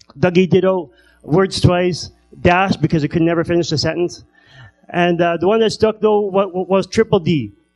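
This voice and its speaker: With music in the background, a man talks at a moderate pace in a high pitch. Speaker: comedian. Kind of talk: stand-up. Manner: halting.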